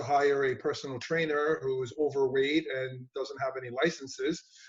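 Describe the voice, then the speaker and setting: With a New York accent, a man speaks at a fairly high pitch and fairly quick pace in a flat, monotone way. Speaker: gym owner and personal trainer. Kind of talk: interview.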